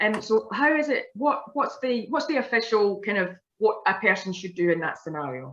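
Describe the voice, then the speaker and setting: A woman talks with hardly any pauses. Her fairly high voice swings very widely in pitch. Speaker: community forum moderator. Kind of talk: Q&A moderation on video call. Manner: fast.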